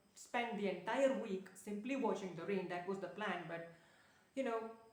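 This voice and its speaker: A woman with lively intonation is heard with audible room echo and noticeable background noise. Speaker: productivity and self-development vlogger. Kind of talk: casual vlog monologue. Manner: fast talker by habit; hesitant, many fillers and restarts.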